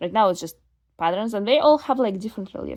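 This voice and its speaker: A woman's dark, mellow voice with a non-native accent. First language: not English. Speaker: doll collector vlogger. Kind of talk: casual unboxing monologue. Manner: casual, halting with fillers.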